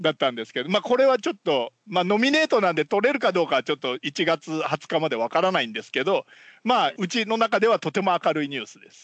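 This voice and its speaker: Speaking very fast in a high pitch, this man makes very wide pitch swings and big swings in loudness. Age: 50s. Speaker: podcast co-host. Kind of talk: casual chat. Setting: remote call.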